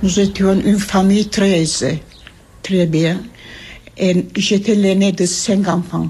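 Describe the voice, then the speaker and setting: A woman at medium pitch speaks at a very slow pace with long, frequent pauses. Her intonation is monotone and flat, her loudness very even, and noticeable background noise is present. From Trabzon, Ottoman Turkey. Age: 80s+. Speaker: genocide survivor. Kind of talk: testimony. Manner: halting.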